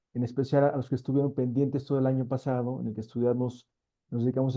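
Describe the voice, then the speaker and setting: This man's pitch is medium. His delivery is very fast, with monotone, flat intonation. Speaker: seminar moderator. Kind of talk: event introduction.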